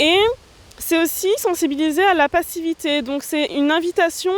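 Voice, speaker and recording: The sound is dry and close, with no echo, despite noticeable background noise. Pitch variation is ordinary. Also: woman. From northern France, Nord (Roncq near Lille). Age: 20s. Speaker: film student and director. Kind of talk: interview.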